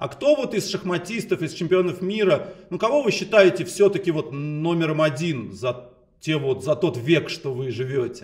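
A man's high-pitched voice at a moderate pace against a quiet background. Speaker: chess interviewer. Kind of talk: interview questions. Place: home room. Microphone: video call.

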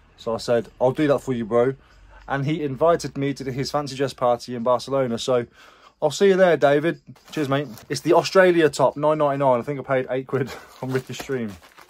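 Talking rather quickly, a man shows normal movement in his pitch. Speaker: reseller vlogger. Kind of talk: casual vlog chat. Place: garage. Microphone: phone near.

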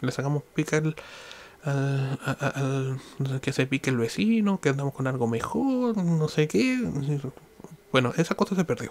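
Delivered with a Chilean accent and lively intonation, the speech moves at a fairly slow pace. Long pauses come often. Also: man, fairly high pitch for a man. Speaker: podcaster. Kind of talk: solo monologue. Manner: halting.

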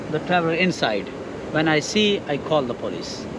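Over noticeable background noise, a man with a Pakistani accent speaks in a high pitch. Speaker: security guard. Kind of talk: casual chat. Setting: outdoors. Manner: halting.

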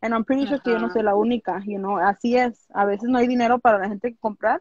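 A woman talks at a very fast pace in a fairly high pitch, with ordinary pitch variation. The sound is dry with no echo, and the background is quiet. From Los Angeles, California, Mexican-American family from Jalisco; California. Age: 20s. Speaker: small business owner; interview guest. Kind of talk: interview. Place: home room. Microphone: video call.

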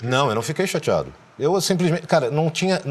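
Very wide pitch swings and vocal fry run through this man's speech. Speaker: voice actor and dubbing director. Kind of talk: interview answer. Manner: casual, frank. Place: studio. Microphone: lapel.

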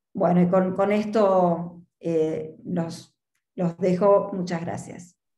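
Her voice is fairly low in pitch and somewhat breathy, with monotone, flat intonation. The woman speaks very slowly amid audible room echo. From Argentina. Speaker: market research consultant. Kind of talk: presentation. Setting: video call. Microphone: video call.

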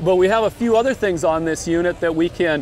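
A man talks at a fairly quick pace with a high pitch and ordinary pitch variation. The sound is dry with no echo, over light background noise. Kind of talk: interview answer. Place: street.

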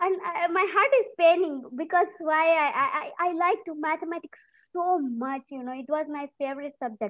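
A woman talks at an extremely high pitch with lively intonation and big swings in loudness. The background is quiet. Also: moderate pace. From India. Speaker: food technology professor. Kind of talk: panel discussion. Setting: video call. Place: home room. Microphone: webcam.

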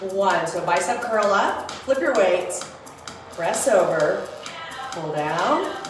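Backed by clear music and audible room echo, the speaker goes at a very slow pace. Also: woman. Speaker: fitness instructor. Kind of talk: workout instruction. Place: home room. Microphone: camera far.

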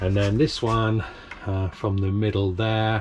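At a fairly slow pace, a man talks in a fairly low pitch over light background noise. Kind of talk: casual build vlog narration. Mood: relaxed, self-mocking. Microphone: phone near.

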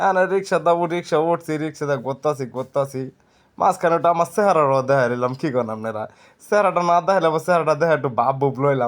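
Here is a man with an unremarkable speaking voice. His pitch is fairly high, with ordinary pitch variation. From Dhaka division, Bangladesh. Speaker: travel vlogger. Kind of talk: casual vlog narration. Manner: rambling, repetitive.

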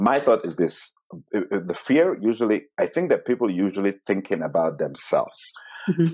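A man with an Italian accent talks at a medium pitch and a moderate pace, his pitch swinging very widely. He pauses long and often against a quiet background. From Italy. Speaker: business professional; podcast guest. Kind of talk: interview. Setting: video call. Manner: talkative. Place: home room. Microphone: earbuds.

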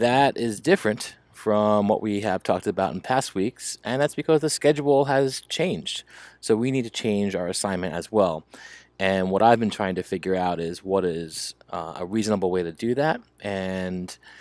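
With lively intonation, a man speaks at a moderate pace in a dry sound with no echo. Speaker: teacher. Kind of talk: class announcement to students. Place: home room.

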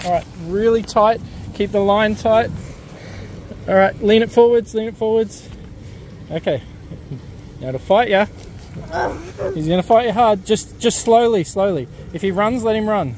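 Moderate pace with long, frequent pauses, light background noise, and a dry sound with no echo. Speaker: father coaching son. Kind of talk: casual coaching talk. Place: boat. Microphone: phone near.

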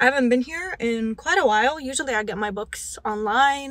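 A woman's bright, sharp tone at a moderate pace, dry with no echo. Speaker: book vlogger. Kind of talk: casual vlog chat. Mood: excited, chatty. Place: car. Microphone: handheld.

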